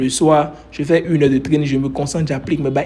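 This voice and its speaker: A man talks at a fairly quick pace in a fairly high, somewhat breathy voice. His tone is animated. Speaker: trading coach. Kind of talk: motivational talk. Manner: fast.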